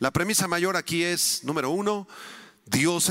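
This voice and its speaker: A man with a normal speaking voice, fairly high pitch and a fairly slow pace. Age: 50s. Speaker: preacher, conference speaker. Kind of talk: sermon.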